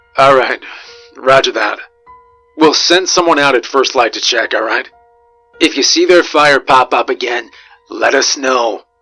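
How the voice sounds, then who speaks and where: Using a put-on character voice, a raspy man with a medium pitch speaks at a moderate pace over faint background music. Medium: read story. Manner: brisk, procedural.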